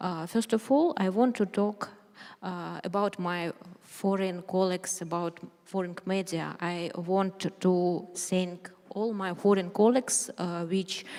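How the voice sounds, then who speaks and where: Fairly slow speech with a Ukrainian accent and fairly even intonation. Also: woman, medium pitch for a woman. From Ukraine. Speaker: journalist. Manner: halting; reading aloud.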